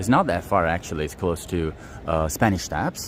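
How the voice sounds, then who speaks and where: Noticeable background noise runs under a man's very deep, low voice. His intonation stays fairly even. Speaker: tour guide. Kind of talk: live-streamed walking tour. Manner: hesitant, many fillers.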